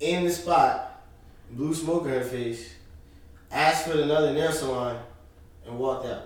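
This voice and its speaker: A man with an American accent speaks at a fairly slow pace and fairly high pitch, with fairly even intonation. Audible room echo and noticeable background noise fill the recording. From Northern New Jersey, near Manhattan. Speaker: IT security worker, friend of host. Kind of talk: casual chat, storytelling.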